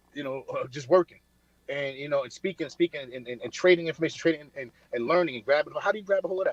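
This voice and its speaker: A man with a New York accent, very fast, fairly high-pitched, with ordinary pitch variation and big swings in loudness, in a dry, close sound with no echo. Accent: New York City. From Brooklyn, New York (Coney Island). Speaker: military veteran and finance speaker. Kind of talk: casual motivational talk. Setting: remote call from a diner. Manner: repetitive, stammering.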